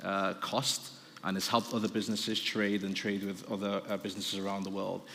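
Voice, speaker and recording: A man with a Liverpool accent, his pitch fairly low, in a room with audible echo. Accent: Liverpool (Scouse). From Liverpool, northern England. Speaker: business development director, panel speaker. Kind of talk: conference presentation. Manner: fast; halting, many fillers.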